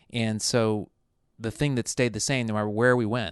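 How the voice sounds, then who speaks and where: In a General American accent, a man speaks fairly quickly at a fairly low pitch, the sound dry and close with no echo against a quiet background. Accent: flat Burbank accent, general American. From US South (military bases abroad, then Mississippi, Alabama, Florida, Texas). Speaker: television writer. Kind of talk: podcast interview.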